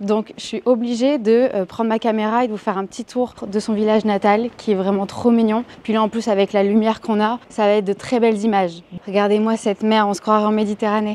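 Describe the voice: Speaking with a slight northern French accent, a woman talks at a fairly quick pace in a slightly mellow tone with little pitch movement. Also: medium pitch for a woman. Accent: light northern French.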